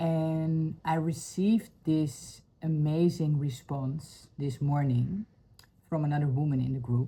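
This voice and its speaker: Somewhat breathy and dark, mellow in tone, this voice has a Dutch accent and fairly even intonation. The pace is very slow. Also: woman, very deep, low pitch for a woman. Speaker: spiritual healing vlogger. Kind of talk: personal testimony vlog. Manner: halting, many fillers.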